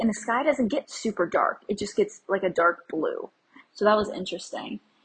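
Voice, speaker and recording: A woman with an American accent speaks at a fairly high pitch. Her voice is somewhat breathy. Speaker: solo travel podcaster. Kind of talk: casual solo monologue, travel update. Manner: animated, enthusiastic.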